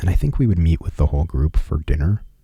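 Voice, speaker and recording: Soft-spoken and relaxed in tone, a man speaks with a very deep, low pitch and ordinary pitch variation. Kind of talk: ASMR personal travel story. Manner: soft-spoken, relaxed.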